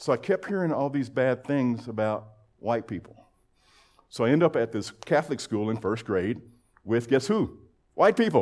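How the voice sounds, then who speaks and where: This man's voice sits at a medium pitch, moving at a moderate pace with lively intonation and long, frequent pauses. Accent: American. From Texas, Lubbock. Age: 60s. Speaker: men's group speaker. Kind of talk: testimony.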